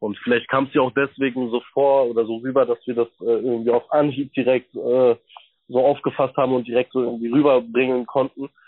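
A man talks in a monotone, flat way. The pitch of his voice is medium. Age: 20s. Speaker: actor. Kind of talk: interview.

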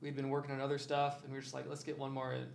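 With an American accent, a man speaks in a fairly high, monotone, flat voice, and audible room echo surrounds him. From Iowa. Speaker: DJ and electronic music producer. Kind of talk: casual interview chat. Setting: studio, in person.

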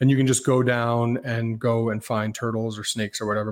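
With flat, monotone intonation, a man talks at a medium pitch. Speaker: turtle keeper and animal hospital worker. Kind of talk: casual chat.

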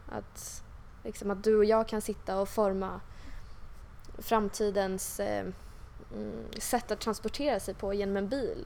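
A woman speaks at a medium pitch and a fairly slow pace. Her intonation is monotone and flat, with long, frequent pauses. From Stockholm suburbs (Huddinge). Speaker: tech entrepreneur. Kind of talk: interview. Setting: office. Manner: hesitant, many fillers.

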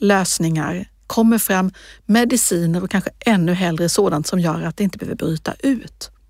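Over a silent background in a very clean recording, a woman talks at a fairly slow pace with a medium pitch and ordinary pitch variation. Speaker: regional politician. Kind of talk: interview. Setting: podcast studio.

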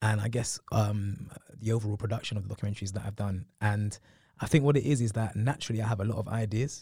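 Very clean and set against a silent background, a man's fairly low, somewhat breathy voice with a dark, mellow tone rushes along at a very fast pace in a London accent. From northwest London. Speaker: TV presenter. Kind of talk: interview. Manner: animated.

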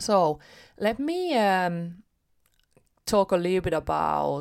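Speech in a non-native accent comes at a very slow pace on a very clean recording with a silent background. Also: woman. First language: not English. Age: 30s. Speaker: podcast host, motivational coach. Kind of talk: motivational solo podcast talk.

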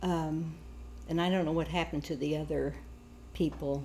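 A woman speaks with an American accent. Audible room echo surrounds her voice. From US Midwest, Kansas. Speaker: family elder recounting her life. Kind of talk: oral history interview.

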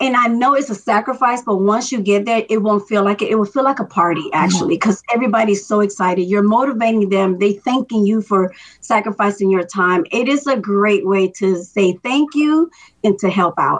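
A woman uses a normal speaking voice, fairly high in pitch with ordinary variation, moving at a fairly quick pace and keeping her loudness very even. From Miami, Florida, Dominican immigrant family. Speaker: longtime race volunteer. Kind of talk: interview.

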